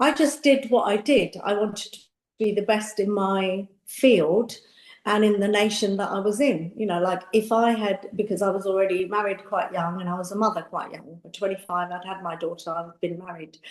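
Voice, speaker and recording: A woman in a London accent, medium in pitch, with ordinary pitch variation and big swings in loudness. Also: moderate pace. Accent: British English, London. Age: 60s. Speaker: makeup artist and beauty entrepreneur. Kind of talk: interview conversation. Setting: podcast. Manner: animated.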